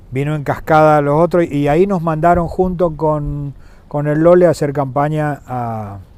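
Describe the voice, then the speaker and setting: Against noticeable background noise, a man talks at a fairly slow pace in a fairly high pitch. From Argentina, San Juan province. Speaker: former governor and businessman. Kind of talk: interview. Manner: hesitant, with fillers and repetitions.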